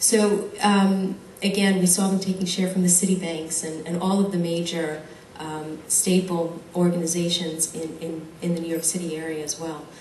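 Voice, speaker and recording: In an American accent, a woman speaks with monotone, flat intonation amid audible room echo and noticeable background noise. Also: fairly low pitch for a woman, moderate pace. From United States. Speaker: audience member, marketing consultant. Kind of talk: audience comment at Q&A.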